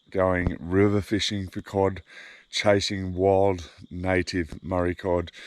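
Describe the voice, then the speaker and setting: In a very clean recording with a silent background, a man with an Australian accent speaks very slowly at a very deep, low pitch, with a monotone, flat intonation. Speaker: fishing vlogger. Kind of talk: casual vlog narration. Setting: outdoors, camping by a river.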